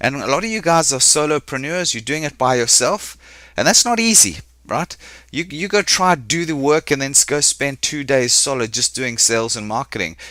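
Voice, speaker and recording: In a South African accent, a man speaks with a bright, sharp tone. His pitch is fairly high and his intonation lively. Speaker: business coach. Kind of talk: webinar presentation. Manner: fast.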